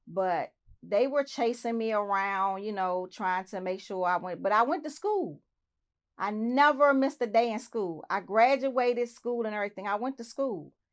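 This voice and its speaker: A woman's fairly high voice with an American accent, lively intonation and a moderate pace, an unremarkable speaking voice against a quiet background. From Southeast Washington DC. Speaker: interview guest. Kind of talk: interview.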